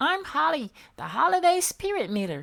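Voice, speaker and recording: A put-on character voice pitched high. The pace stays moderate. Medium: read story.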